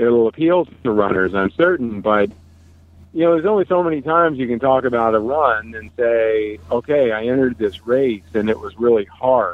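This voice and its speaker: At a moderate pace, a man with an unremarkable speaking voice talks in a medium pitch with lively intonation. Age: 50s. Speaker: ultramarathon runner. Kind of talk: casual chat.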